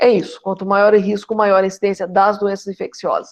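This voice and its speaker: The woman's pitch is medium. She talks at a fairly quick pace. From Brazil, interior of São Paulo state. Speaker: geriatrics professor. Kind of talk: lecture. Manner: fast.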